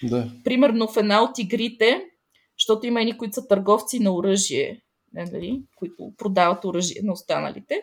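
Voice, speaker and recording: Vocal fry runs through a woman's fairly high voice. She moves at a moderate pace with ordinary pitch variation. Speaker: educator. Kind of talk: interview.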